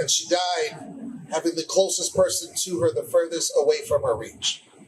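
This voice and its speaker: Noticeable noise sits behind a man talking at an even, moderate speed. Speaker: slam poet. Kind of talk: poetry slam performance.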